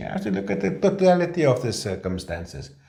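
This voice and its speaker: With a South African accent, a man talks at a moderate pace and medium pitch, showing very wide pitch swings and vocal fry. His tone is dark and mellow, with audible room echo. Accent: Afrikaans South African English. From South Africa, Afrikaans-speaking. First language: Afrikaans. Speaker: labour law practitioner. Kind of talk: casual discussion.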